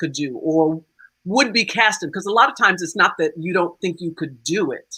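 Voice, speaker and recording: This woman speaks with an American accent. Her fairly low voice has a bright, sharp tone. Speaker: stage actor and singer. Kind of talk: panel discussion.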